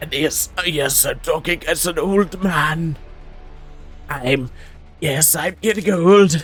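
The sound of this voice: Over clear background music, a man does a put-on character voice at a high pitch and a very slow pace.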